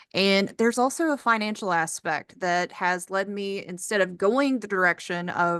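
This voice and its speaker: A woman talks in an ordinary speaking voice at a moderate pace with ordinary pitch variation, the sound dry and close with no echo against a quiet background. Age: 20s. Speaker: PhD student. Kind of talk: testimony. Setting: video call.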